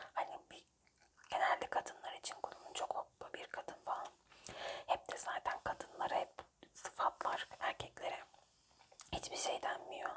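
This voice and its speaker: Whispering at a moderate pace, a woman leaves long, frequent pauses, with big swings in loudness. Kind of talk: ASMR whisper word-search puzzle with gum chewing. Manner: whispered.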